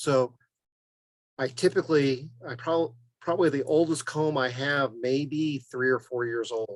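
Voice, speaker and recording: At a fairly slow pace, a man talks in an ordinary speaking voice, fairly high in pitch, with ordinary pitch variation. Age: 60s. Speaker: beekeeper, guest speaker. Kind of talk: Q&A at online club meeting.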